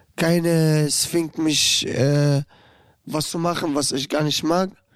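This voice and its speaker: Someone with an Arabic accent speaks at a very slow pace in a monotone, flat intonation. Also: man. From Syria, Damascus. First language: Arabic (speaking German). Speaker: inmate podcast host. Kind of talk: testimony. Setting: youth prison.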